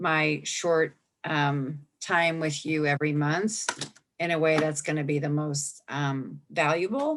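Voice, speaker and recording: On a very clean recording with a silent background, a woman speaks very slowly in a fairly low pitch with a bright, sharp tone. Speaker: environmental advocacy policy expert. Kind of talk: policy briefing.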